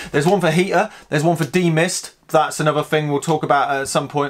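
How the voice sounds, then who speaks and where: A man talks fairly quickly, keeping his intonation fairly even. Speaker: video host. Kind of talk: casual vlog chat. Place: workshop.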